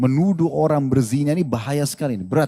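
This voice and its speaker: A man's fairly high-pitched voice with a dark, mellow tone, lively intonation and a fairly quick pace. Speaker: Islamic preacher answering questions. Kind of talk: religious lecture and Q&A answer.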